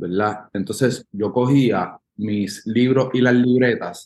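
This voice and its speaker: At a very slow pace, a man speaks. His intonation is fairly even. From Puerto Rico. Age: 30s. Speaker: musician. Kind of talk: casual interview.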